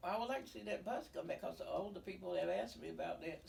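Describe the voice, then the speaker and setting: Noticeable background noise runs under the speaker, a woman. She has an American accent. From US South. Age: 80s+. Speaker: community elder. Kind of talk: interview. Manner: halting.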